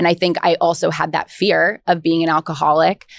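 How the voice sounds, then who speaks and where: A woman with an American accent speaks at a moderate pace and a fairly low pitch, on a very clean recording with a silent background and a dry, close sound with no echo. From Albany, New York. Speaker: recovering alcoholic sharing her story. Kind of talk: podcast interview testimony. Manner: hesitant, many fillers and restarts.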